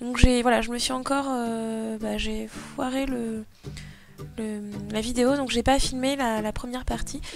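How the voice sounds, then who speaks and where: Music plays in the background. A woman speaks in a fairly high voice with fairly even intonation. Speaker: craft tutorial youtuber. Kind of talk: casual tutorial voice-over.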